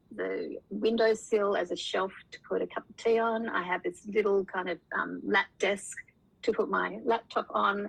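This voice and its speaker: A woman with an Australian accent, medium in pitch, fairly slow, with vocal fry. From Tasmania, Australia. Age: 60s. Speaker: author, former radio presenter. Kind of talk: interview.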